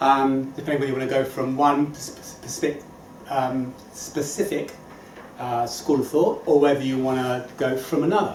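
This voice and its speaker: Noticeable background noise with audible room echo. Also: man. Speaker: motivational speaker. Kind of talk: inspirational talk. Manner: fast; animated.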